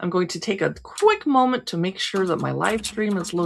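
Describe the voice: What you hear is plain reading aloud.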